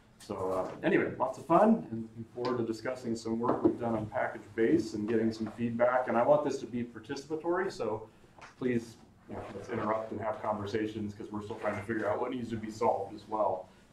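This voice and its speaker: Talking at a fairly quick pace, a man is heard with audible room echo and light background noise. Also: ordinary pitch variation. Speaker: conference presenter. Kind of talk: technical talk. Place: classroom.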